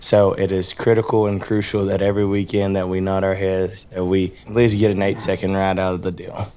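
A man in a Texas accent, fairly low-pitched and monotone, flat in intonation, at a fairly quick pace with hardly any pauses, over noticeable background noise. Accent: Texas Southern. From Texas, Rockdale. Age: 20s. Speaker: professional bull rider. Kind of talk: interview storytelling.

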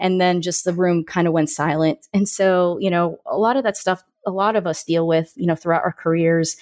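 At a moderate pace, a woman with an American accent uses an ordinary speaking voice, fairly low in pitch with ordinary pitch variation. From Florida, Orlando. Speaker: aerospace engineer and science communicator. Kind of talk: interview podcast.

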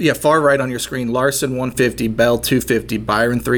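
Against noticeable background noise, a man with an American accent talks at a medium pitch and a fairly quick pace with fairly even intonation. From Ohio. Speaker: sports betting podcast co-host. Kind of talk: casual chat.

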